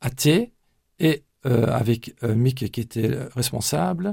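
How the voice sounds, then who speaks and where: Somewhat breathy, this voice shows normal movement in pitch. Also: man. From Brussels, Belgium (Flemish parents). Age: 60s. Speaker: church pastoral coordinator. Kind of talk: radio interview. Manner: halting, frequent hesitations.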